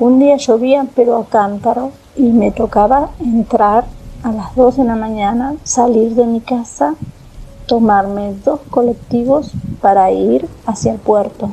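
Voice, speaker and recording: With noticeable background noise behind her, a woman speaks at a very slow pace, her fairly high pitch showing ordinary variation. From Argentina, Tandil. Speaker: storyteller sharing a personal experience. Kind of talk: personal testimony. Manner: halting, with many fillers and repetitions.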